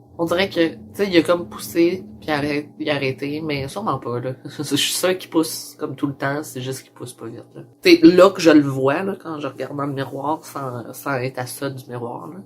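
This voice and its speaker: With a Quebec accent, a man with a fairly high pitch speaks at a moderate pace with hardly any pauses and ordinary pitch variation. His loudness swings widely, and there is noticeable background noise. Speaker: transgender vlogger. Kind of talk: personal vlog. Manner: casual, many fillers.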